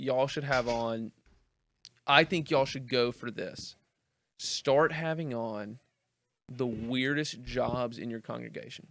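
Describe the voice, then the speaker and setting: The speaker has an American accent and fairly even intonation, with long, frequent pauses. The recording is very clean, with a silent background. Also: man, medium pitch for a man. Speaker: pastor. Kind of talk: casual chat. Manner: fast.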